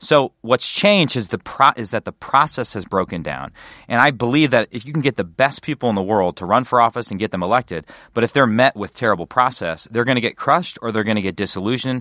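A man at a medium pitch, very fast, with lively intonation and a bright, sharp tone, in a dry, close sound with no echo against a quiet background. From Wisconsin. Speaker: congressman. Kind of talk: casual interview.

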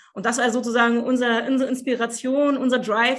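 Very fast and high-pitched, a woman speaks in a very clean recording with a silent background. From eastern Germany, Cottbus. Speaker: social worker and family coach. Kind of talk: interview.

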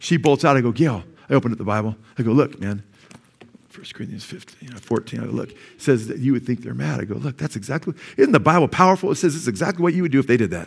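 Talking at a very fast pace, a man with a medium pitch shows vocal fry, big swings in loudness and very wide pitch swings. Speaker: pastor. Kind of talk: sermon. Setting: church.

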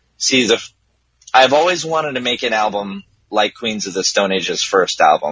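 A man with a medium pitch and a plain, everyday voice speaks with lively intonation. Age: 20s. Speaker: musician. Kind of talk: casual chat.

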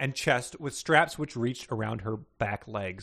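A natural voice reading aloud, pitch varying normally

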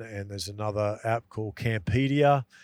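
In a strong Australian accent, the speaker talks at a moderate pace on a very clean recording with a silent background and a dry, close sound without echo. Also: man. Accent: broad Australian. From rural Queensland, Australia (Dalby). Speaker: outdoor travel content creator. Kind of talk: casual interview. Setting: in a car. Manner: halting, many fillers.

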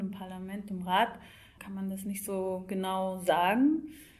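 A woman speaks at a fairly slow pace. Room echo is audible, along with noticeable background noise. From Scotland. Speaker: EU liaison office youth projects staffer. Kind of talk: interview.

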